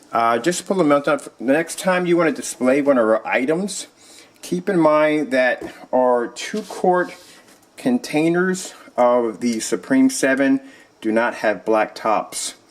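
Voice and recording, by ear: At a fairly slow pace, a man talks with medium pitch and ordinary pitch variation, and room echo is audible.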